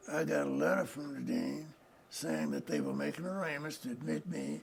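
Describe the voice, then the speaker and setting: Over noticeable background noise, a man with a Southern US accent talks at a moderate pace. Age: 80s+. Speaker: retired lawyer. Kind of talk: oral history interview. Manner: halting.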